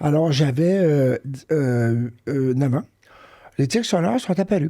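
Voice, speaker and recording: A man's fairly high-pitched, dark, mellow tone with lively intonation at a very slow pace. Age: 60s. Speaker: professor of education. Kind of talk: interview testimony. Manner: hesitant, many fillers.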